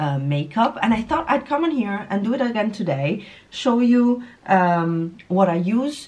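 The delivery comes at a fairly slow pace. There is a somewhat breathy quality to the voice. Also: woman. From Italy. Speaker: beauty YouTuber. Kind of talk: casual makeup tutorial talk to camera.

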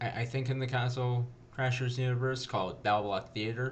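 A somewhat breathy man speaks with fairly even intonation against light background noise. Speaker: gaming video host. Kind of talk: casual let's play intro chat. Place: home room.

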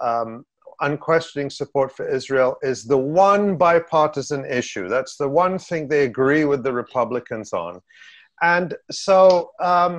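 A quiet background and a man speaking at a fairly slow pace. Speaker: political commentator. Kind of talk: interview answer. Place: home room. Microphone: webcam.

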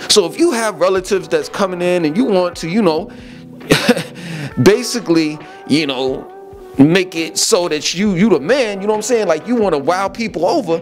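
A man's high-pitched voice over clear background music. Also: moderate pace. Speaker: vlogger. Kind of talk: casual vlog chat. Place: home room.

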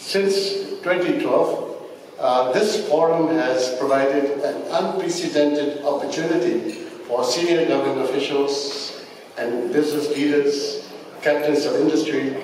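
Strong room echo and light background noise accompany a man speaking at a fairly slow pace with fairly even intonation. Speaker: government minister. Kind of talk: formal speech. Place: hall. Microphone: podium.

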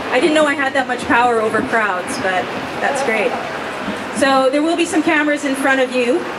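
Fairly quick speech under loud background noise. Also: woman. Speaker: rally emcee. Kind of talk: event announcements. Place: street. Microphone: pa.

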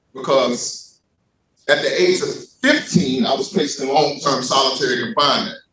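There is audible room echo and light background noise as a man with an American accent talks at a moderate pace. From US South. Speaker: poet and formerly incarcerated writer. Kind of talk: panel discussion with spoken word poetry. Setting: stage with audience. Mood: earnest, reflective. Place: hall.

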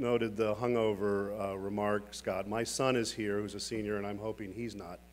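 A man speaks at a moderate pace with a fairly low pitch. Light background noise sits behind him. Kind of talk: keynote speech. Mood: warm, lightly joking. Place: hall. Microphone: podium.

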